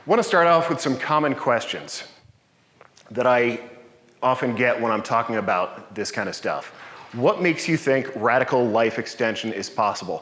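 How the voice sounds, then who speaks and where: Loudness swings widely in this recording, the voice showing ordinary pitch variation amid noticeable background noise and audible room echo. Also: man, medium pitch for a man. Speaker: longevity coach and meetup presenter. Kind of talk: lecture. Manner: fast.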